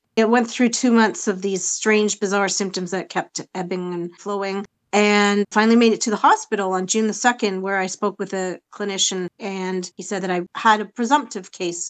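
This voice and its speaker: A woman with a Canadian accent speaks in a normal speaking voice at a medium pitch and moderate pace, with fairly even intonation, and the sound is dry and close with no echo over a quiet background. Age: 50s. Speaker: patient advocate, support group founder. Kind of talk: interview testimony.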